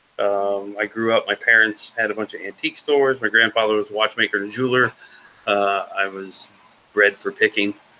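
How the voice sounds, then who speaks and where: A man with an ordinary speaking voice, fairly low in pitch, talks at a fairly quick pace with fairly even intonation. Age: 40s. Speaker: reseller and storage unit picker. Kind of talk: casual live auction chat.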